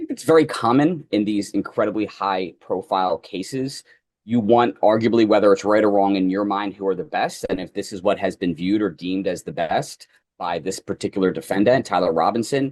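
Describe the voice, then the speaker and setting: A man in a Philadelphia accent speaks fairly quickly at a fairly low pitch, with ordinary pitch variation. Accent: Philadelphia, Northeastern US. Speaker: trial lawyer, former prosecutor. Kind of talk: interview.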